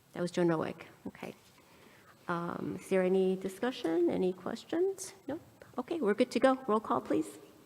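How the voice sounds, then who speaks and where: A woman pauses often and at length as she talks, with noticeable background noise throughout. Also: moderate pace, big swings in loudness. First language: not English. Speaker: school board president chairing meeting. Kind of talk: formal board meeting proceedings. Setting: in-person board meeting.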